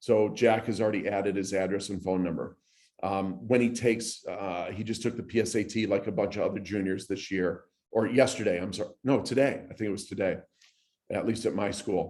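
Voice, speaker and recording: With fairly even intonation, a man moves through his words at a fairly quick pace. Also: fairly low pitch for a man. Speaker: recruiting platform presenter. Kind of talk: presentation. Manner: fast.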